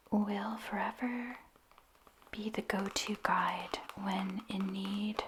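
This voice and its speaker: Noticeable background noise surrounds the clip. A woman whispers very slowly. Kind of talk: ASMR soft-spoken ramble about writing and books. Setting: close-mic studio ASMR recording. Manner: soft-spoken, whispered, slow.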